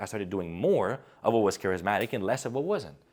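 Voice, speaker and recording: A man's fairly quick speech with vocal fry, on a very clean recording with a silent background. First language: not English (English is third language). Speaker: public speaking coach. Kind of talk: video essay / advice commentary. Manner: animated.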